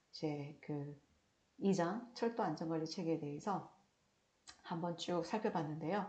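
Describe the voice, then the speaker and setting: The woman has a fairly low, somewhat breathy voice with a dark, mellow tone. Her intonation is lively. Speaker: lecturer on railway safety law. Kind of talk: recorded online lecture. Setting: recorded video lecture. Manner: trying to speak slowly and clearly.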